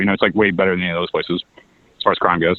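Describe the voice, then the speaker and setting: A man's voice in a Missouri accent. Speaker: political candidate. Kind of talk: casual chat.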